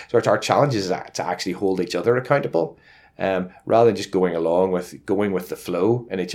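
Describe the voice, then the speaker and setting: A man with a Northern Irish accent, very deep and low in pitch, at a very fast pace. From Northern Ireland. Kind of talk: interview. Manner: halting, many fillers and repetitions.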